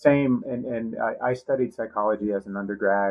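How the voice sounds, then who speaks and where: Speaking in a normal speaking voice with an American accent, a man talks at a fairly quick pace with fairly even intonation. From US Northeast, Boston. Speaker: podcast co-host in recovery. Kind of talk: podcast interview.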